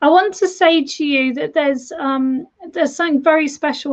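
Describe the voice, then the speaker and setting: With a British accent, a woman speaks at a moderate pace and ordinary pitch variation. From United Kingdom. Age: 40s. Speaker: tarot reader and medium. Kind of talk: live-stream tarot reading. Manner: warm, chatty, repetitive.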